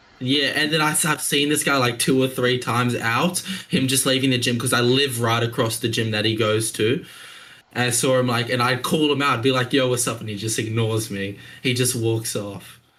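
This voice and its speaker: A man with an Australian accent talks at a fairly quick pace in a bright, sharp tone. His pitch is medium, his intonation fairly even, and there is audible room echo. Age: 20s. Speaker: young entrepreneur. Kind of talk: casual chat. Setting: video call.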